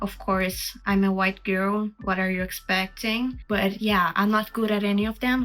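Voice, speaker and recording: A woman with a Brazilian accent talks at a moderate pace in a medium pitch. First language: Portuguese. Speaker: artist and video creator. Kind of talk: Q&A monologue. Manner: casual, chatty.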